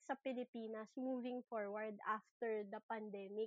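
A woman at a fairly slow pace, with a dry, close sound and no echo. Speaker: podcast host. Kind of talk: interview conversation.

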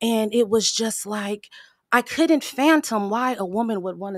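An unremarkable speaking voice from a woman with an American accent, medium in pitch, at a moderate pace. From Pasadena, California. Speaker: motivational speaker. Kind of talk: casual chat.

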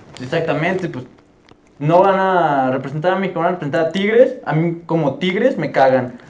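There is audible room echo and noticeable background noise as a man with a fairly high voice talks at a moderate pace with ordinary pitch variation. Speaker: football podcast host. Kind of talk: casual chat. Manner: animated.

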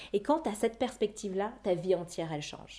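A woman talks at a medium pitch. Her tone is dark and mellow. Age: 30s. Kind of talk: testimony.

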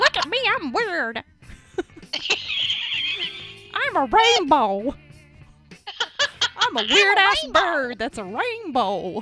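An extremely high, put-on character voice at a very slow pace, with very wide pitch swings, long and frequent pauses, and faint music in the background. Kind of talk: mocking, exaggerated. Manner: silly, showy, quirky.

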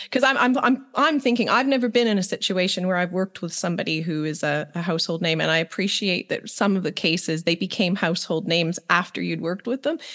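A woman with a medium pitch speaks at a very fast pace with lively intonation and hardly any pauses. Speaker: podcast co-host. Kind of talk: casual interview chat.

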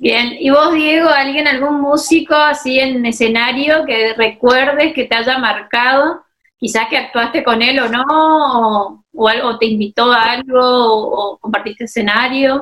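Pitched high, a woman speaks at a fairly slow pace with hardly any pauses and ordinary pitch variation. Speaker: interviewer host. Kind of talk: casual interview. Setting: video call.

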